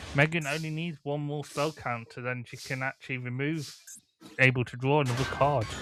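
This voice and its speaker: With music in the background, a man talks at a fairly quick pace and fairly high pitch, with fairly even intonation and big swings in loudness. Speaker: gaming commentator. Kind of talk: live commentary. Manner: halting.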